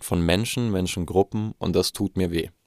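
With fairly even intonation, a man talks in a very deep, low pitch, recorded dry and close with no echo. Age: 20s. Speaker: podcast host. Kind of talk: solo monologue. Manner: halting.

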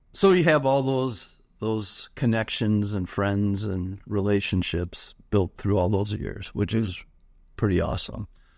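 Talking at a fairly slow pace, a man with an American accent has a normal speaking voice, a fairly low pitch and ordinary pitch variation. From US Midwest, Milwaukee area. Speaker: church ministry director. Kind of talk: casual chat.

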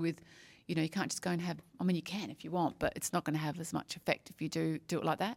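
A woman's fairly low voice in an Australian accent, very fast and monotone with flat intonation, dry and close with no echo, on a very clean recording with a silent background. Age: 50s. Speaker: podcast host. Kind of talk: casual interview. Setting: at a conference.

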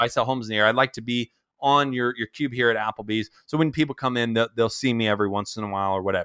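On a very clean recording with a silent background and a dry, close sound with no echo, a man with an American accent speaks in a medium pitch, his tone bright, sharp and animated, with ordinary pitch variation. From Southern California. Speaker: startup founder and marketer. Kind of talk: casual interview.

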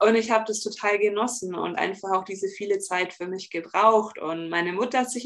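A woman speaks at a fairly quick pace with fairly high pitch and fairly even intonation. It's a plain, everyday voice. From Bavaria, near Augsburg. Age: 30s. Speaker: relaxation coach for highly sensitive people. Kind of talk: podcast interview.

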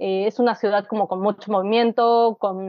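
Fairly high-pitched with fairly even intonation, this woman has an unremarkable speaking voice. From Mexico City. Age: 30s. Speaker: writer. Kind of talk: casual interview.

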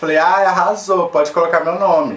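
An animated man at a moderate pace, with noticeable background noise. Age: 20s. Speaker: podcast guest, company worker. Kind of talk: casual chat.

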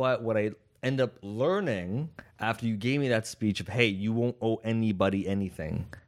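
A man talks at a moderate pace in an animated tone. His medium pitch has ordinary variation. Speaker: podcast co-host. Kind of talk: casual chat.

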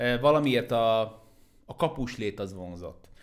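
Here the voice shows ordinary pitch variation. Its speed stays moderate. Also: man. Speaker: basketball expert and content creator. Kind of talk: casual chat.

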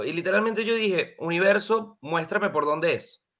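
A man speaks in an animated tone with lively intonation. The recording is very clean and the background silent. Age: 20s. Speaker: numerology decoder, coach. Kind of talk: casual chat.

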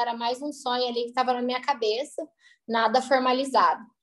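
A woman speaks with a high pitch. Music plays in the background. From southern Minas Gerais, Brazil. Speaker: food entrepreneur. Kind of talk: interview. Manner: halting.

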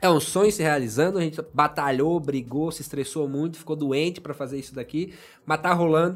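In an unremarkable speaking voice, a man talks at a fairly quick pace with a fairly high pitch. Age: 30s. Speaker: podcast host. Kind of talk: casual chat. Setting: studio.

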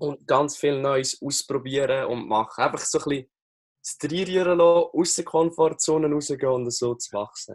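A man with a Lucerne accent talks at a fairly high pitch. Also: ordinary pitch variation, moderate pace. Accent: Swiss German (Lucerne). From Switzerland, Lucerne. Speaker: NLP coach and social media coach. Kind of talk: casual interview.

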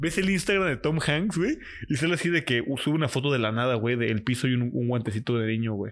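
Very fast and lively in intonation, a man with a Mexican accent speaks at a medium pitch on a very clean recording with a silent background. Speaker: podcast co-host. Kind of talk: casual chat.

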